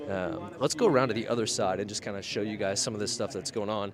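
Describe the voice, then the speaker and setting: A man talks rather briskly while room echo rings out and background noise is clearly present. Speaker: live event host for a drone company. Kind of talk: live walkaround broadcast. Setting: outdoors at a crowded conference. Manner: animated, excited.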